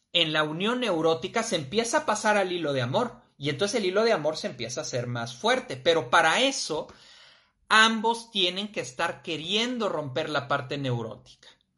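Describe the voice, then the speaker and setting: A man's high, bright, sharp voice with a Mexican accent and very wide pitch swings. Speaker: live-stream talk host. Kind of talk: live-streamed personal development talk. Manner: casual, with frequent fillers.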